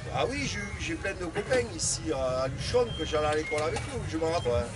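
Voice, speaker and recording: A man's fairly high voice with lively intonation at a fairly quick pace, plus audible room echo and noticeable background noise. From southwest France, Toulouse area. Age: 60s. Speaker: fairground ride operator. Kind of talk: interview. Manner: halting.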